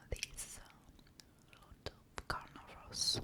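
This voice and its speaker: Whispering comes through noticeable background noise. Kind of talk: ASMR soft-spoken talk. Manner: soft-spoken, whispered, slow.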